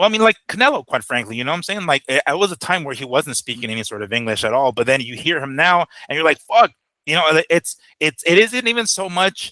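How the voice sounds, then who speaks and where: Speaking with a Spanish accent, a man uses a fairly high pitch with very wide pitch swings and a bright, sharp tone at a fairly quick pace, in a dry, close sound with no echo. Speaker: boxing podcast co-host. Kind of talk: casual chat.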